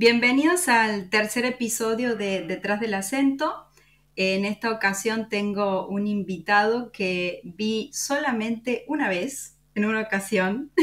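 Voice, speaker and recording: On a very clean recording with a silent background, a woman with an Argentine accent speaks at a very slow pace in a fairly high voice with ordinary pitch variation. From Córdoba, Argentina. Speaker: podcast host. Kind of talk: interview.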